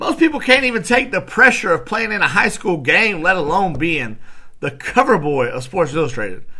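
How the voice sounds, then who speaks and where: The voice is raised and projected, moving at a moderate pace with very wide pitch swings. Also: man, high pitch for a man. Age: 30s. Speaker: podcast host. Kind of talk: solo casual talk. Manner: animated.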